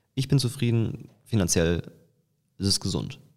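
In a very clean recording with a silent background, a man speaks in a normal speaking voice, fairly low in pitch with ordinary pitch variation. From Eifel, western Germany. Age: 20s. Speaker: business coach and facial expression trainer. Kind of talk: casual interview. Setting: outdoors on location. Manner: frequent fillers (ähm).

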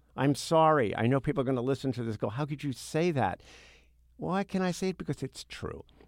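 Speaking very fast with lively intonation, a man with an American accent has a fairly high pitch. The recording is very clean and silent behind him, dry and close with no echo. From US Northeast (Brooklyn, New York). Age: 60s. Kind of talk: interview conversation.

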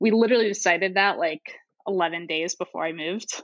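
A plain, everyday voice with an American accent talks at a fairly quick pace with ordinary pitch variation. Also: woman. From St. Louis, Missouri, US Midwest. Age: 30s. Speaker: software worker. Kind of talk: casual interview.

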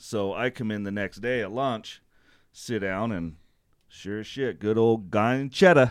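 Fairly slow and at a medium pitch, a man uses a plain, everyday voice with ordinary pitch variation on a very clean recording with a silent background. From Utah, US. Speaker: landscaping business owner, army veteran. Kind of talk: casual chat.

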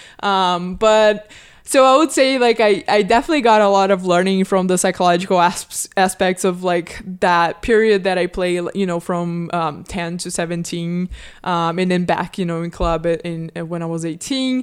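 A woman's medium-pitched voice with a Portuguese accent, ordinary pitch variation, and a very clean recording over a silent background. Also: moderate pace. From Brazil. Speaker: sports psychology professor. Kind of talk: casual interview.

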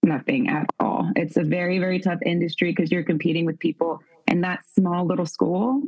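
A woman with an unremarkable speaking voice talks at a fairly quick pace. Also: fairly low pitch for a woman, lively intonation. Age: 30s. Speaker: actress. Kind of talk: casual chat. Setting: video call.

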